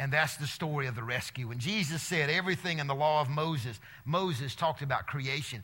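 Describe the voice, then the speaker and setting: In an Alabama accent, a man talks at a fairly quick pace with hardly any pauses and ordinary pitch variation. His fairly high voice has a bright, sharp tone, and audible room echo surrounds it. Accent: Southern US (Alabama). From US South, Alabama. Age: 50s. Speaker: preacher and teacher speaking to students. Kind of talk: sermon to a student audience. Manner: animated.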